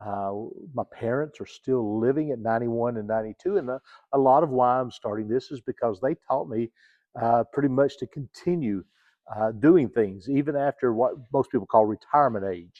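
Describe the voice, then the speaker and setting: This man talks at a moderate pace. His pitch is medium, with ordinary pitch variation. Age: 60s. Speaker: church music minister and vlogger. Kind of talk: personal vlog monologue. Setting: empty church sanctuary. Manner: halting, many fillers.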